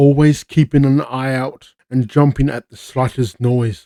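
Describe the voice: Over a quiet background, the voice is plain reading aloud with fairly even intonation.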